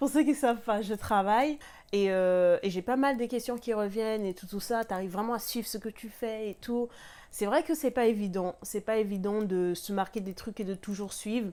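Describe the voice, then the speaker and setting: A woman's dark, mellow tone at a fairly high pitch, with ordinary pitch variation and a moderate pace. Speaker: lifestyle vlogger. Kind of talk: casual tutorial vlog. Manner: hesitant, many fillers. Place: home room.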